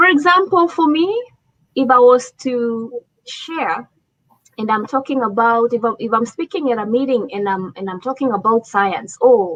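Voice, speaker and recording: A woman speaks with an African accent, her pitch high and her intonation lively. She talks at a moderate pace. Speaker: leadership speaker. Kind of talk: talk show presentation.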